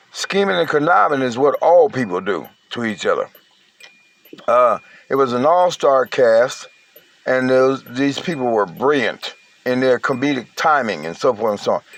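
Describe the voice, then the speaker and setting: A man's medium-pitched voice with lively intonation, a moderate pace, long and frequent pauses, and noticeable background noise. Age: 60s. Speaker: online commentator. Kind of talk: casual monologue.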